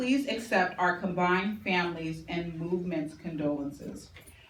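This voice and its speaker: Speech moves at a fairly slow pace with ordinary pitch variation. Audible room echo surrounds it. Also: woman. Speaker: tribute speaker. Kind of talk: tribute speech; reading aloud. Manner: loud.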